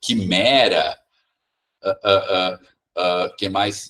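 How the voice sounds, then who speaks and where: The sound is dry and close with no echo as a man speaks at a very slow pace. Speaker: teacher trainer. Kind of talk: teacher training talk. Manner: halting, many repetitions.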